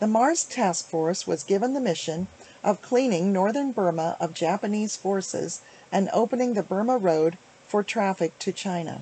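Dark and mellow in tone, a woman speaks at a moderate pace with ordinary pitch variation. The sound is dry with no echo. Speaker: author. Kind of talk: reading from a book. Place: home room. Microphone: webcam.

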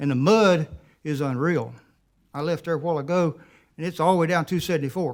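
A man with a rural South Carolina accent speaks in a fairly high voice, recorded very cleanly against a silent background. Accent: US Southern, rural South Carolina. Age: 60s. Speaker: resident speaking at public comment. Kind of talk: public comment at council meeting. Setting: county council meeting.

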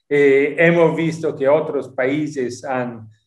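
The background is quiet, with audible room echo. A man speaks very slowly. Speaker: UN human rights official. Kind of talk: interview; interview answer. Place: home room. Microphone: video call.

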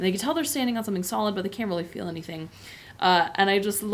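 It is an unforced reading voice. The pitch variation is ordinary.

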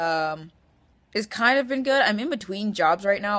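Against a quiet background, a woman speaks with an American accent. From Washington, US Pacific Northwest. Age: 20s. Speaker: vlogger. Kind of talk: casual vlog monologue. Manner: rambling with fillers and laughs. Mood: relaxed, hesitant. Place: home room. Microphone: webcam.

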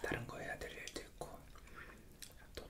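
A man whispers at a fairly quick pace. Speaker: ASMR creator chatting with his wife. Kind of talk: ASMR casual chat while eating. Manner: whispered.

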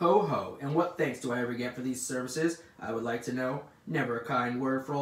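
Pitch varies in an ordinary way as text is read aloud in a natural voice.

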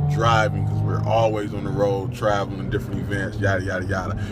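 A man's voice in a dry recording with no echo, music playing in the background. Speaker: vlogger. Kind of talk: casual vlog chat. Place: car. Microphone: phone near.

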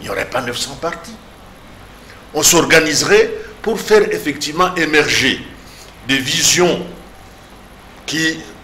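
Over light background noise, a man speaks fairly slowly with lively intonation. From DR Congo. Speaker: political commentator. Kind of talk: political panel discussion. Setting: TV studio. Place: studio. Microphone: lapel.

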